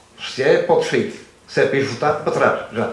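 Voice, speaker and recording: There is audible room echo and noticeable background noise. A man speaks at a fairly quick pace. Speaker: former soldier of the revolution. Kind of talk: panel talk at literary festival.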